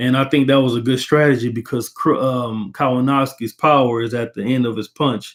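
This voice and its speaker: An ordinary speaking voice with an American accent, fairly even intonation, a fairly quick pace and hardly any pauses. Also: man, medium pitch for a man. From Texas. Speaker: boxing commentator. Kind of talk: casual fight analysis monologue. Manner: casual, conversational.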